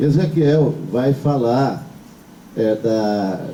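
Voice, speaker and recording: Audible room echo surrounds the speaker. He is a man with a fairly high pitch. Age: 60s. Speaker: priest. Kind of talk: sermon. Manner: halting.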